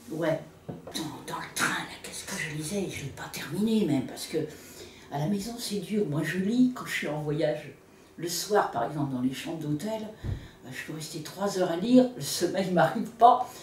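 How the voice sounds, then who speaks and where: Through noticeable background noise and audible room echo, a woman speaks fairly slowly at a fairly low pitch, with lively intonation and big swings in loudness. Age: 70s. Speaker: interviewee, local reader. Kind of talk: casual interview. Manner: animated.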